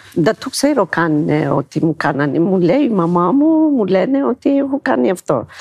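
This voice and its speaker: Very wide pitch swings from a woman at medium pitch, moderate pace and hardly any pauses, in a dry, close sound with no echo and noticeable background noise. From Ethiopia. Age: 50s. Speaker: dancer and shop worker. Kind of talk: interview. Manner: halting.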